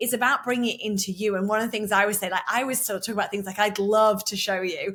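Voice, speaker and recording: Talking very fast, a woman keeps a fairly high pitch in a monotone, flat delivery. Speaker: sales coach and podcast host. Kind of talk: interview host.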